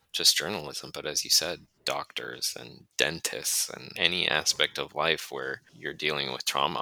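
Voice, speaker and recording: With an American accent and some vocal fry, a man speaks at a moderate pace. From Minnesota, US (Duluth). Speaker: travel journalist, editor. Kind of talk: interview, casual chat.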